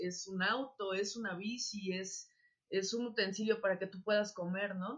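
The speaker is a woman with a Mexican accent. Her pitch is medium and her intonation fairly even. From Mexico, Acapulco (Guerrero). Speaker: industrial designer and workshop teacher. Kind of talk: casual interview. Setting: video call. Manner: halting, many fillers and repetitions.

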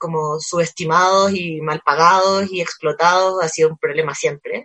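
Fairly slow in pace, a woman talks with fairly even intonation. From Chile. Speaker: cultural manager, book fair organizer. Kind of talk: casual interview chat. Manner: halting, many fillers and repetitions.

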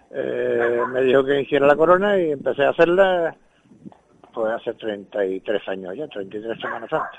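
Over noticeable background noise, a man at a medium pitch speaks at a fairly slow pace, his pitch swinging very widely. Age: 70s. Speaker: religious brotherhood member, crown maker. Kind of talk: interview. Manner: halting.

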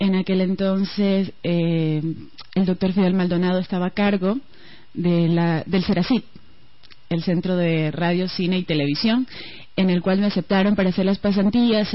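In a coastal Ecuadorian accent, a woman talks at a moderate pace with a medium pitch and a somewhat breathy voice. Her intonation is fairly even and her loudness very even. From Ecuador, Guayaquil (coast). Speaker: radio broadcaster. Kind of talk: radio interview.

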